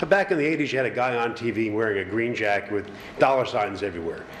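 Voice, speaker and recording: Over noticeable background noise and audible room echo, a man with an American accent speaks at a very fast pace and medium pitch. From Long Island, New York. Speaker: funding consultant presenting to town board. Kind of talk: presentation at public meeting. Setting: town board meeting.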